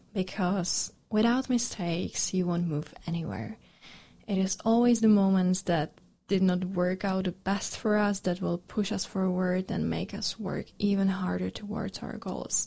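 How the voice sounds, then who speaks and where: A woman speaks fairly slowly in a dark, mellow tone that is somewhat breathy. Her intonation is fairly even. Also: medium pitch for a woman. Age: 20s. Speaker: podcast host. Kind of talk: casual monologue.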